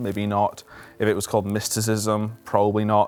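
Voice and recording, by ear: Over faint background music, a man with fairly low pitch talks at a moderate pace.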